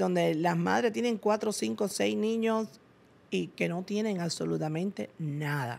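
A woman's fairly low voice at a fairly slow pace, with very wide pitch swings. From Cuba. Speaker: businesswoman; interview guest. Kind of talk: interview. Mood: earnest, reflective storytelling. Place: studio. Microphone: studio mic.

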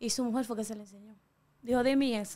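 The woman's voice is high and fairly even in intonation. She talks at a very fast pace. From Dominican Republic, La Caleta near Boca Chica; Dominican Republic. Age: young. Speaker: TikToker; interview guest. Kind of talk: interview. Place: studio. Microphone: studio mic.

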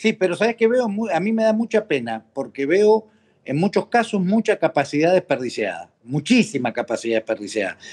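A man with a high voice talks at a moderate pace, his pitch swinging very widely. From Argentina, Mendoza; Argentina. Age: 50s. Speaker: political activist; podcast guest. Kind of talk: interview. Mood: animated, storytelling. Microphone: video call.

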